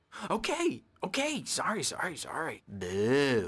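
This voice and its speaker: A man adopts a put-on character voice, pitched fairly high and delivered fairly slowly. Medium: video game.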